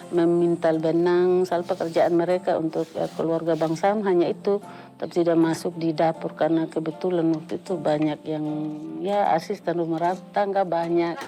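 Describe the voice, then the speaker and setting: At a moderate pace, a woman with fairly low pitch speaks in a monotone, flat intonation over music in the background. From Sumba, Indonesia. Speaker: textile weaver. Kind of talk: interview testimony.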